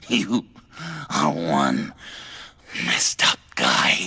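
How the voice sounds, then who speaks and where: This is a put-on character voice delivered with a growl. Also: man, very deep, low pitch for a man. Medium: short film. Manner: stammering, erratic.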